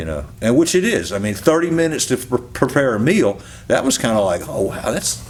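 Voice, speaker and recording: Over noticeable background noise, a man talks at a fairly quick pace. His voice sits at medium pitch with very wide pitch swings. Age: 60s. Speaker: dog trainer and retired policeman sharing health testimony. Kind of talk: testimony interview. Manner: halting, repeats words.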